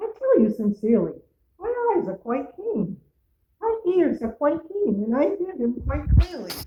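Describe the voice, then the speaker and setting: A woman puts on a character voice, high in pitch with very wide pitch swings, at a moderate pace. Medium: read story.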